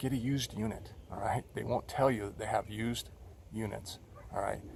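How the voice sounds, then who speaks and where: A man speaks at a fairly quick pace in a medium pitch, with vocal fry and fairly even intonation. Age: 60s. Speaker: video blogger. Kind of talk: casual monologue to camera. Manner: hesitant, many fillers.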